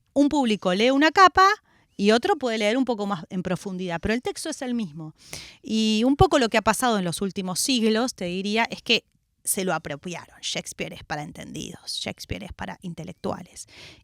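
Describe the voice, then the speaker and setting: A woman talks at a fairly quick pace with fairly high pitch, lively intonation, and big swings in loudness. The sound is dry and close, with no echo. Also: very clean recording, silent background. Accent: Rioplatense. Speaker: actress and theatre director. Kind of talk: radio interview.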